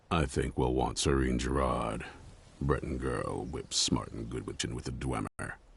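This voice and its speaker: The speaker puts on a character voice and keeps a moderate pace. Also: man. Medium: video game. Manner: gruff, blunt.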